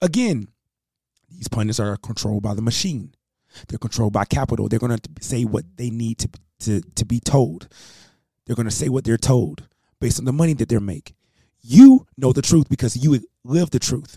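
A man talks in a dark, mellow tone that is somewhat breathy. His speech has long, frequent pauses. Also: medium pitch for a man, ordinary pitch variation, moderate pace. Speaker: talk radio host. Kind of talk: rally speech, motivational address to listeners. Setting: live radio broadcast. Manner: impassioned, emphatic, repeating key lines for effect.

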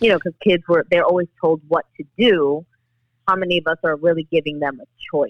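A woman with a New York accent talks at a fairly quick pace in a fairly low pitch. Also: ordinary pitch variation. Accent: New York City. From US Northeast, New York City (the Bronx). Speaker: actress and domestic violence activist. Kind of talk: interview.

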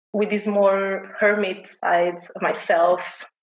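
A woman in a Portuguese accent speaks at a very slow pace and medium pitch, with monotone, flat intonation. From Portugal. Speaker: homesteader and knitter. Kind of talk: casual chat.

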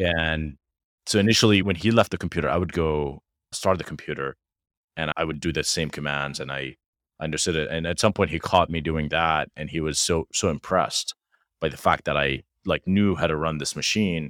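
In an Arabic accent, a man with a very deep, low pitch talks at a fairly quick pace and with fairly even intonation, in a dry, close sound with no echo and a very clean recording with a silent background. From Jordan. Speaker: tech startup founder and CEO. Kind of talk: casual interview conversation.

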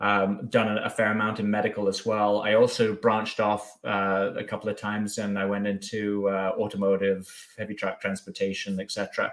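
With hardly any pauses, a man in an English accent speaks at a moderate pace, his fairly low pitch held in monotone, flat intonation. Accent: English accent still audible. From southwest England, Bath. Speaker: packaging business development director. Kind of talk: casual interview chat. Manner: hesitant, many fillers.

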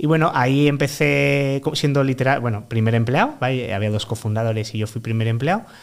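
A man with a plain, everyday voice, medium pitch and ordinary pitch variation, at a fairly quick pace with hardly any pauses. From Málaga, Andalusia, Spain. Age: 30s. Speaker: freelance product consultant. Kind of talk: casual interview.

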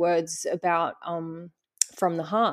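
With an Australian accent, a woman speaks at a fairly slow pace and a fairly low pitch over a quiet background. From Western Australia. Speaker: nature educator. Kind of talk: interview.

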